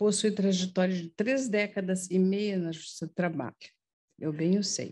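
Her tone is dark and mellow, pitched in the middle range. This woman keeps her intonation fairly even. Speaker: judge. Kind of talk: ceremonial tribute speech. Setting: courtroom ceremony with audience. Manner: emotional, improvised. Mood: warm, heartfelt. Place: hall. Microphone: podium.

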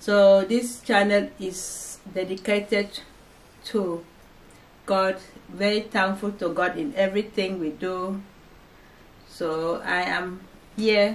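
A woman's very slow speech, with fairly even intonation and long, frequent pauses. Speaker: channel host. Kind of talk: casual vlog chat. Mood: warm, thankful, faith-focused. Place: home room.

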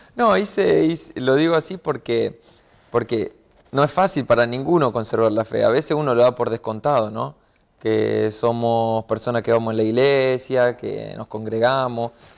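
Against a quiet background, a man of medium pitch talks at a moderate pace with ordinary pitch variation. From Rosario, Argentina; Argentina. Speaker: professional footballer; interview guest. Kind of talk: interview. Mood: warm, reflective about faith. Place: studio.

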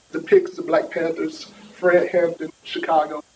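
A man with an American accent speaks at a moderate pace with lively intonation over light background noise. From New York. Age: 40s. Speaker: sociology professor; speaker, educator. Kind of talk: panel talk. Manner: casual. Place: hall. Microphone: podium.

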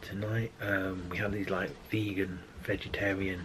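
A man's very deep, low voice in a flat monotone, over noticeable background noise. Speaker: vlogger. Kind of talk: casual vlog chat. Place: home room.

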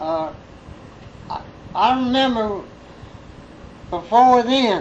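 With a Southern US accent, a man talks at a very slow pace and an extremely high pitch. Noticeable background noise runs under his voice. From Central Alabama. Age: 80s+. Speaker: farmer. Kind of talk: interview answer.

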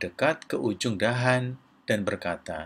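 At a fairly slow pace, a man speaks. His pitch is medium.

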